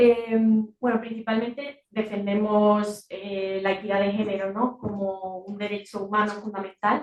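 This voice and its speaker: Soft-spoken delivery at a fairly slow pace, with monotone, flat intonation. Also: woman, medium pitch for a woman. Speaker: NGO communications officer. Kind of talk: presentation at a meeting. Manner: hesitant, many fillers.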